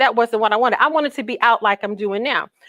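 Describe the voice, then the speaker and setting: A woman's raised, projected voice, bright and sharp in tone, with a dry, close sound and no echo. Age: 60s. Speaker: health educator. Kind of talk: presentation.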